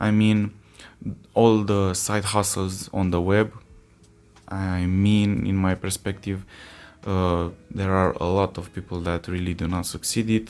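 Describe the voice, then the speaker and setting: Fairly slow, monotone and flat delivery with long, frequent pauses, music in the background. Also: man, very deep, low pitch for a man. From Romania. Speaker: entrepreneur and vlogger. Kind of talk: casual talking-head vlog. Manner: halting, many fillers.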